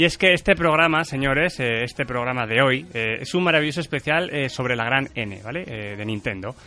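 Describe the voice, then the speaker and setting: With a bright, sharp tone and lively intonation, a man talks at a moderate pace and medium pitch with hardly any pauses. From central Spain. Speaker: podcast host. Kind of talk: casual chat. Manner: animated.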